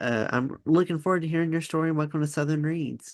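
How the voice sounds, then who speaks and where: Over a quiet background, a man speaks in a normal speaking voice at a moderate pace. His pitch sits fairly high. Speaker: podcast host. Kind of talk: podcast interview questions.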